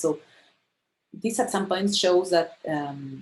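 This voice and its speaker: A woman with a Spanish accent and lively intonation. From Argentina. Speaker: astronomer. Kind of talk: lecture. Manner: halting.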